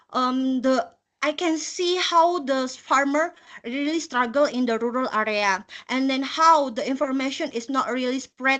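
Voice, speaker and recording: A woman with a strong non-native accent, high-pitched with ordinary pitch variation, at a fairly slow pace over a quiet background. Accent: thick non-native. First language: not English. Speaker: volunteer presenter, environmental project officer. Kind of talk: short personal presentation. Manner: halting, many fillers.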